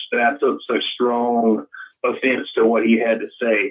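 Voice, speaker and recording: A man is speaking. He talks with a strong Southern US accent. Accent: deep Southern US. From Louisiana. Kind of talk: casual chat.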